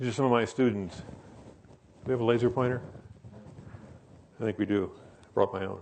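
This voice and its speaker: Speaking at a medium pitch, a man talks very fast with fairly even intonation. He also takes long, frequent pauses. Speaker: professor. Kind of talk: lecture.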